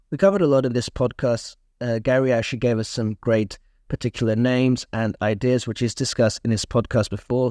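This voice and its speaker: Medium-pitched male speech, dark and mellow, at a fairly quick pace with ordinary pitch variation, on a very clean recording with a silent background and a dry, close sound with no echo. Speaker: investing podcast host. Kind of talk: podcast intro and interview.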